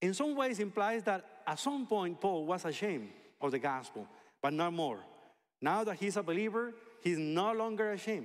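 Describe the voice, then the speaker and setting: Speaking with a Spanish accent, a man uses a high pitch and very wide pitch swings at a moderate pace. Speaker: pastor. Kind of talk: sermon.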